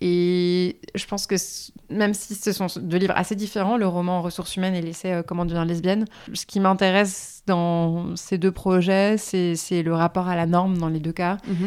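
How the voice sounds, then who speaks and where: A woman with a medium pitch speaks at a moderate pace with monotone, flat intonation. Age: 30s. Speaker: writer and feminist activist. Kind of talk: interview.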